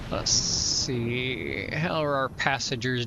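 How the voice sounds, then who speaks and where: A man with an American accent speaks at a medium pitch, with audible room echo and noticeable background noise. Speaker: flight sim streamer. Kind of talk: casual live-stream commentary. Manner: relaxed, with fillers.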